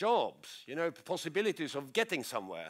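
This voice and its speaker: Very wide pitch swings at a fairly quick pace, on a very clean recording with a silent background. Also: man. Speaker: professor. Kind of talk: conference talk. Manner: fast; halting with repetitions.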